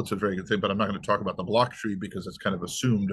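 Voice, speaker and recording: The man talks at a very fast pace with a fairly low pitch. The background is quiet. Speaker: presenter. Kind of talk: lecture. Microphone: webcam.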